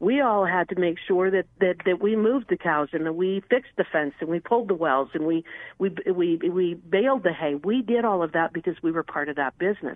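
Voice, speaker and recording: At a fairly quick pace, a woman talks in an ordinary speaking voice, fairly low in pitch with ordinary pitch variation. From Wyoming, US. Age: 50s. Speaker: congressional candidate and attorney. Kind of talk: political interview. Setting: phone call. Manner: repeats words when speaking quickly.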